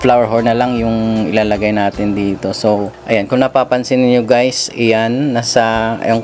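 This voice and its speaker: With music in the background, a man at a medium pitch speaks at a fairly slow pace in a monotone, flat intonation. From Western Visayas, Philippines (Ilonggo). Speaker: fish hobbyist vlogger. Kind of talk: casual vlog talk. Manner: casual, hesitant with fillers.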